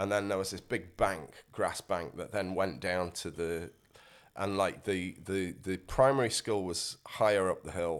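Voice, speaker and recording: A man with a South Yorkshire accent at a fairly slow pace, with ordinary pitch variation, on a very clean recording with a silent background. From northern England, Rotherham, South Yorkshire. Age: 50s. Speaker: musician. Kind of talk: casual interview chat. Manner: halting, many fillers.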